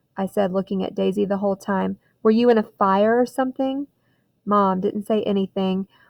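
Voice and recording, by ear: In a natural voice, a person reads aloud with a quiet background behind them.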